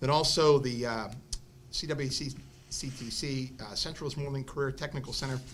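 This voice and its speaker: Audible room echo and noticeable background noise surround a man speaking at a fairly quick pace, with a fairly high pitch and fairly even intonation. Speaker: school principal. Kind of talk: school board report. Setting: school board meeting. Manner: halting, many fillers.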